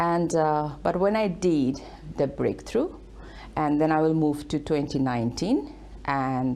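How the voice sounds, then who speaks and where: With a Bangladeshi accent, a woman talks fairly slowly in a very deep, low pitch and a dark, mellow tone, her loudness very even, her pitch variation ordinary, and her pauses long and frequent. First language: Bengali. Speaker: author and leadership speaker. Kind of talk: TV interview. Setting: studio.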